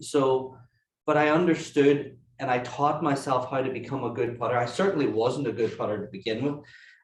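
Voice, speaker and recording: A man speaks in a fairly high, somewhat breathy voice. Room echo can be heard around him. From Ireland. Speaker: golf putting coach. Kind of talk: webinar presentation. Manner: hesitant, many fillers.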